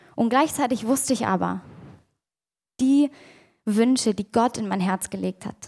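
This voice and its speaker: A woman talks at a moderate pace in a dark, mellow tone with vocal fry and ordinary pitch variation. The recording is very clean, with a silent background. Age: 20s. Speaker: youth leader giving a sermon. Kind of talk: sermon.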